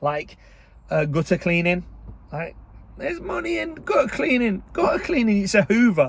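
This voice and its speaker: A loud man with an English accent at a moderate pace, amid noticeable background noise. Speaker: online business coach. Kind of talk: casual vlog talk. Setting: in a car. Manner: chatty, informal.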